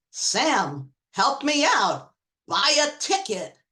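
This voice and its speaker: A female-sounding voice performs a put-on character at a high pitch. The pace is very slow. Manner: commanding, comic.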